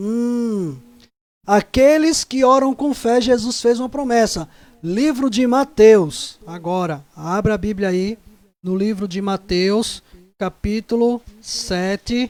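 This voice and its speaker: With a dry, close sound and no echo, a man talks very slowly at a high pitch with ordinary pitch variation. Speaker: Bible study teacher. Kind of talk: Bible study lesson.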